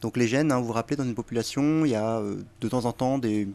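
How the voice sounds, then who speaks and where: A man speaks at a fairly quick pace in a medium-pitched voice with fairly even intonation and an unremarkable speaking voice. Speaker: guest. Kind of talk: casual chat, explaining urban legends.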